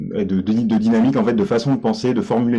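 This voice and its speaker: Over a quiet background, a man's dark, mellow voice sits at a medium pitch with ordinary pitch variation. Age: 20s. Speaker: party candidate, IT worker. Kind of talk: candidate self-presentation in online meeting. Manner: halting, many fillers and repetitions.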